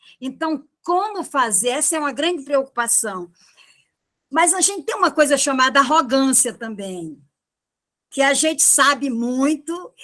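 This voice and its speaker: Raising and projecting her high voice, a woman speaks at a fairly slow pace with a bright, sharp tone, lively intonation and long, frequent pauses. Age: 70s. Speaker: retired philosophy teacher. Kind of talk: panel discussion on education. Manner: hesitant, with many fillers and repetitions.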